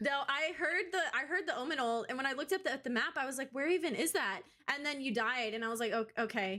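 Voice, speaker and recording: With an American accent, a woman talks at a very fast pace in a high, raised, projected voice with lively intonation. Noticeable background noise is present. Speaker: esports caster interviewing players. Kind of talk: casual post-game interview. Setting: video call. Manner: animated.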